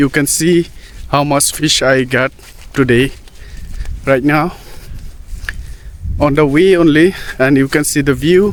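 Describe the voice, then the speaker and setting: There is noticeable background noise as a man talks at a fairly slow pace. His loudness stays very even, broken by long, frequent pauses. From Northeast India. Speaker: vlogger. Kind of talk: casual vlog narration. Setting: outdoors by a pond. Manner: halting.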